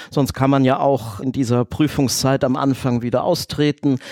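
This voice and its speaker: With an unremarkable speaking voice, a man talks at a moderate pace and a fairly high pitch, in a dry, close sound with no echo. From Düsseldorf, Germany. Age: 40s. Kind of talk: interview.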